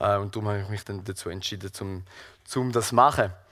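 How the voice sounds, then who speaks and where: A man talks at a fairly quick pace. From Switzerland, Thurgau (Seerücken). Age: 20s. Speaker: gardener and lay preacher. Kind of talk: sermon. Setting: church hall with audience and livestream. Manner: halting, many fillers.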